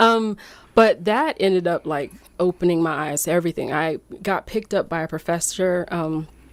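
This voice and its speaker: A woman talks in a fairly low register, her pitch moving in an ordinary way. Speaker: image consultant. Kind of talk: interview. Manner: fast.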